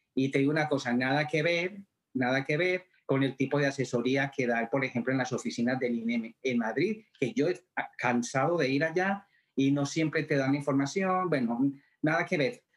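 With a normal speaking voice, a man talks at a moderate pace and fairly high pitch, with ordinary pitch variation. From Colombia. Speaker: theatre actor. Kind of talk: interview testimony.

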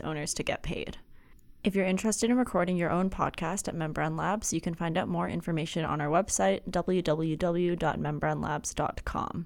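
A woman speaks at a fairly quick pace with a fairly low pitch. Her intonation stays fairly even, with vocal fry. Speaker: podcast host. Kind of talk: casual interview chat. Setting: video call with guest.

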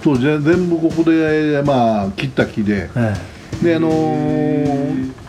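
Over noticeable background noise, a man with a fairly high pitch speaks at a very slow pace with lively intonation. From Japan, Shizuoka (Fujinomiya, foot of Mt Fuji). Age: 60s. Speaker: forester and campsite owner. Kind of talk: casual interview.

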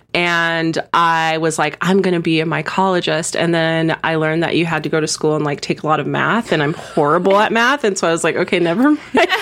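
A woman's fairly low-pitched voice with an American accent, a normal speaking voice, fairly even intonation, a fairly quick pace, hardly any pauses and very even loudness. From San Diego, California. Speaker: esthetician. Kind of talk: casual chat.

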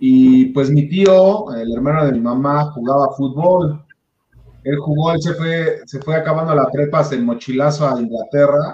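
A man talks at a fairly slow pace with a fairly high pitch. His voice is somewhat breathy, with ordinary pitch variation. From Mexico, Puebla. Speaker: sports podcast host. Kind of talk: casual chat.

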